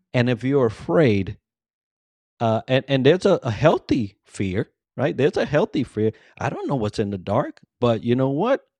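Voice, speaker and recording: A man with an unremarkable speaking voice and an American accent talks at a moderate pace and medium pitch with lively intonation, recorded dry and close with no echo against a quiet background. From US Northeast, New York City (the Bronx). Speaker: leadership coach and navy veteran. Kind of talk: interview.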